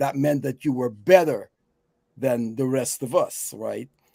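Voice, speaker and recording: A man speaks with a dark, mellow tone in a dry, close sound with no echo. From Guyana. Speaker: talk show co-host. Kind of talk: casual chat. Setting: live online show.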